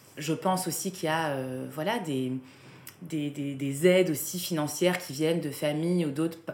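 A woman's very deep, low voice at a fairly slow pace, with ordinary pitch variation, noticeable background noise and audible room echo. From southern France. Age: 30s. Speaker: art business co-founder. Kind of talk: interview. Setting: in her company's office.

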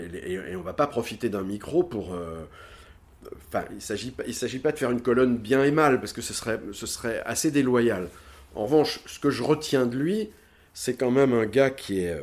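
A man talks at a moderate pace in a medium pitch. His pitch swings very widely and his loudness rises and falls a lot. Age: 60s. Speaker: former fashion house director. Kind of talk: interview. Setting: at home. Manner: halting.

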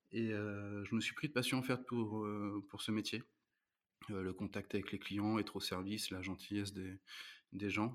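A man talks at a fairly low pitch and fairly slow pace in a monotone, flat intonation. The recording is very clean with a silent background. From France, Normandy (Rouen). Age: 30s. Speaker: restaurant manager. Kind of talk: interview.

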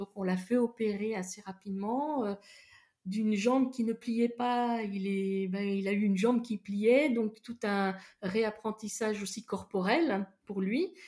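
A woman speaks at a fairly slow pace in a medium pitch, her tone dark and mellow and her pitch varying in an ordinary way. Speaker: therapist. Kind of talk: personal testimony. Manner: hesitant.

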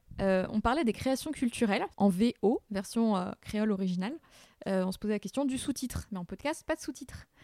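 The tone is dark and mellow, delivered at a fairly quick pace in a dry, close sound with no echo. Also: woman, fairly high pitch for a woman. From Burgundy, France. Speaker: podcast host. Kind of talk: scripted narration; interview.

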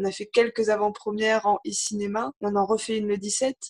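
A woman's voice at medium pitch. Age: 20s. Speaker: documentary filmmaker. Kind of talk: interview. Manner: halting, many fillers.

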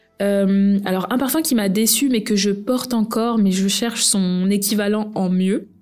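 Here a woman has an unremarkable speaking voice at medium pitch. She talks at a fairly slow pace with fairly even intonation. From France, of Guinean heritage. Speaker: perfume blogger and podcast host. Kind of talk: solo podcast monologue. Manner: casual with frequent fillers.

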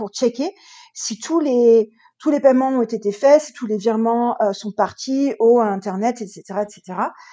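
A woman's high-pitched, dark and mellow voice at a fairly slow pace, with ordinary pitch variation. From France, Loire department. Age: 40s. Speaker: real estate investor and coach. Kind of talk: interview.

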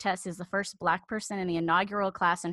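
A woman with a normal speaking voice, medium pitch, fairly even intonation, and a fairly quick pace over a quiet background. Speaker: podcast host. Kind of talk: casual interview chat.

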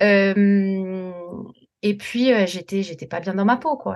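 A woman speaks at a very slow pace. Her pitch moves with ordinary variation. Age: 40s. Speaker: teacher, weight-loss coaching client. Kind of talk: casual interview, personal testimony. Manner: halting, many repetitions and fillers.

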